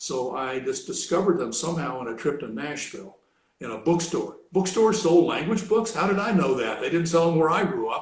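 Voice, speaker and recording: Audible room echo surrounds a man speaking with a high pitch. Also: lively intonation, fairly quick pace. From Kentucky, US South. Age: 70s. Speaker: retired academic, language hobbyist. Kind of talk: casual interview. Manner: hesitant, many fillers.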